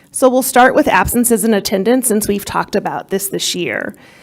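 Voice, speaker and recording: A woman talks at a moderate pace in a normal speaking voice. Her fairly high pitch moves with lively intonation. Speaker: school district administrator. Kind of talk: presentation to a school board. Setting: board meeting.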